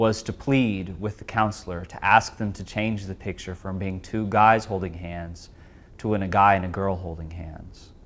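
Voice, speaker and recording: With an American accent, a man talks in a normal speaking voice at a moderate pace. His pitch sits fairly low and varies in an ordinary way. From Texas. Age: 20s. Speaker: former client sharing personal experience. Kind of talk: testimony.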